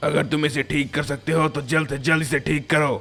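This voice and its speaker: Putting on a character voice, a man talks at a fairly quick pace and a fairly high pitch. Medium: read story. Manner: measured, authoritative.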